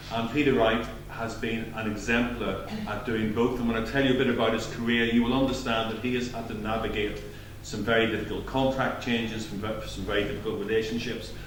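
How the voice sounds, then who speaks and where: A man with a Belfast accent talks at a fairly quick pace in a medium-pitched voice with monotone, flat intonation. Audible room echo and noticeable background noise are present. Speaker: doctor, GP and clinical officer giving award speech. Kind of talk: award speech. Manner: projecting loudly. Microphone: no microphone.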